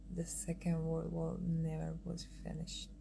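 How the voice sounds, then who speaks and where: With music in the background and audible room echo, a woman speaks at a fairly slow pace in an Iranian accent. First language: Farsi. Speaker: artist and designer. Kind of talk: casual livestream chat. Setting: Instagram live stream. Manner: halting.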